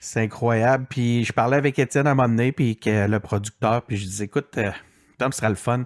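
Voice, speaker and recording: A man speaks at a fairly quick pace and a medium pitch, with fairly even intonation. The recording is very clean, with a silent background. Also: dry, close sound with no echo. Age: 40s. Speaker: digital strategist and podcaster. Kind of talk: interview. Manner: halting, many fillers.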